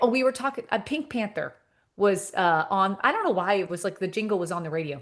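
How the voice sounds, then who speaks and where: Lively intonation marks this woman's medium-pitched voice. She speaks at a fairly quick pace against a quiet background. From Canada, Montreal. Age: 50s. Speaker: social media comedian. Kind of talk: casual chat. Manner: animated.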